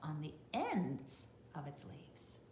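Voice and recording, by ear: A woman talks with a fairly bright tone. Some room echo can be heard around her.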